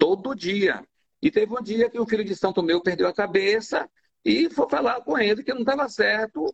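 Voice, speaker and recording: A man is speaking. His pitch swings very widely. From Bahia, Brazil (Madre de Deus island, near Salvador). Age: 70s. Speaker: candomblé priest. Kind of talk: interview about religion. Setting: online live stream.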